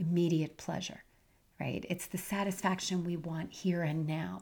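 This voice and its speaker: On a very clean recording with a silent background, a woman speaks in a fairly low, somewhat breathy voice. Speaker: podcast host, health and life coach. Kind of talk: solo podcast talk.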